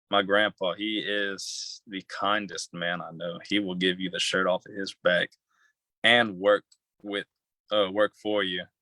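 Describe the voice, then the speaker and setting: A man's fairly low, flat monotone in a Southern Louisiana accent, with long, frequent pauses and a very clean recording over a silent background. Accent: Southern Louisiana accent, noticeable. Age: young. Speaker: young entrepreneur. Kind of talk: interview. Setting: livestream. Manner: halting.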